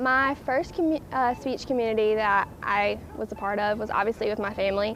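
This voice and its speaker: A woman speaks in a strong Southern US accent. Her pitch is fairly high. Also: ordinary pitch variation, fairly quick pace. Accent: thick Southern US. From US South. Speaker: college student, interviewee. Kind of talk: interview answers. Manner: hesitant, many fillers.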